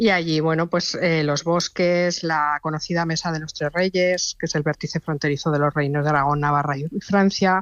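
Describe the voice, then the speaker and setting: A woman with an unremarkable speaking voice talks at a moderate pace in a fairly low pitch, with fairly even intonation and hardly any pauses. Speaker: travel recommendations contributor. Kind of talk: radio interview.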